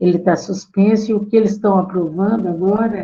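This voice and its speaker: A woman's somewhat breathy voice, medium in pitch and dark and mellow in tone, at a fairly slow pace. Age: 70s. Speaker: feminist activist. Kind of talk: talk to course participants.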